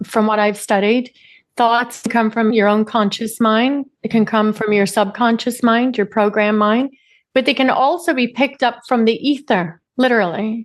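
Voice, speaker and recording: A woman with a Northern Irish accent at a fairly high pitch and moderate pace, with very even loudness and fairly even intonation against a quiet background. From Northern Ireland, Derry. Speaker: CEO and personal development coach. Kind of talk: podcast interview.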